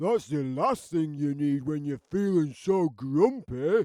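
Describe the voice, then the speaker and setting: A man puts on a character voice. He pitches it fairly high. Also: fairly slow pace. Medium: read story.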